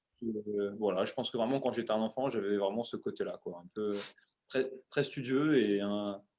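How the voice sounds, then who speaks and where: His pitch sits in the medium range for a man, his intonation stays fairly even, and his pace is moderate. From Paris, France (18th arrondissement). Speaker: CrossFit coach and show creator. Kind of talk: interview, casual chat. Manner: hesitant, many fillers.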